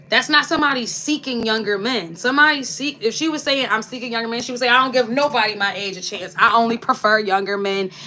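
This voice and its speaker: Against noticeable background noise, a woman talks very fast in an animated tone with hardly any pauses. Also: fairly high pitch for a woman, ordinary pitch variation. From Philadelphia, US. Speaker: lifestyle vlogger. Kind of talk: casual live-stream chat.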